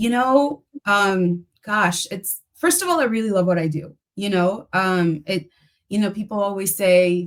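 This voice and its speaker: At a fairly slow pace, a woman with a Spanish accent talks at medium pitch with ordinary pitch variation. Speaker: speech-language pathologist. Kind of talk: interview.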